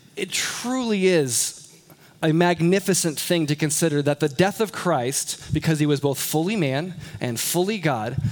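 Against noticeable background noise, a man talks at a moderate pace in a high pitch with lively intonation. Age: 30s. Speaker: pastor. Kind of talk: sermon.

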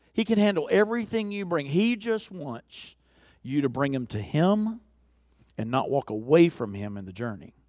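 On a very clean recording with a silent background, a man with a Southern US accent talks at a moderate pace, his fairly high pitch making very wide swings. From US South (Alabama). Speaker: visiting preacher. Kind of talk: sermon. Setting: church.

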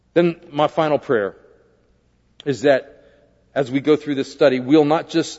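At a moderate pace, a man talks in a normal speaking voice with a fairly high pitch and ordinary pitch variation. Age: 50s. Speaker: pastor. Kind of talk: sermon.

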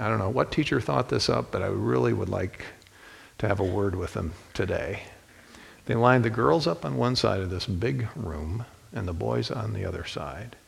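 A voice with vocal fry and very wide pitch swings, in an American accent. The pace is moderate. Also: man, very deep, low pitch for a man. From Ohio, US Midwest (Toledo). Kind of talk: sermon.

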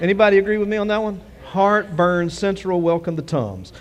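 The pace is fairly quick. Pitch moves up and down in an ordinary way. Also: man, high pitch for a man.

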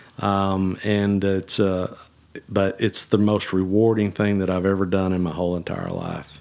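With a strong South Texas accent, a man speaks at a fairly slow pace and fairly low pitch, keeping his intonation fairly even. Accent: strong Southern Texan. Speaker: executive pastor. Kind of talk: casual chat.

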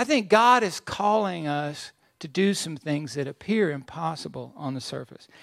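In a plain, everyday voice, a man with fairly high pitch speaks at a moderate pace with lively intonation. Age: 60s. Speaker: pastor. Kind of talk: sermon.

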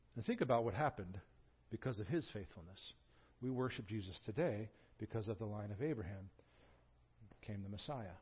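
Fairly low in pitch and somewhat breathy, a man talks at a fairly quick pace with ordinary pitch variation. He leaves long, frequent pauses. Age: 40s. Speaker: pastor. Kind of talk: sermon. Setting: church. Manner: animated.

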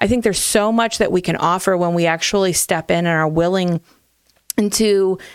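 A woman's normal speaking voice, medium in pitch, at a fairly quick pace with ordinary pitch variation. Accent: American. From Ohio, small town. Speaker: church family ministry director. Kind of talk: casual chat.

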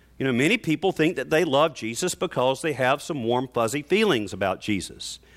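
Vocal fry and lively intonation mark this voice in a Southern US accent, on a very clean recording with a silent background. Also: man. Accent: Southern American. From US South, North Carolina. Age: 50s. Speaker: pastor. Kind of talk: sermon. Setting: church.

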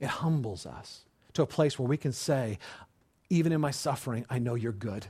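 With an American accent, a man talks at a moderate pace in an animated, somewhat breathy tone. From California. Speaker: pastor. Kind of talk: sermon.

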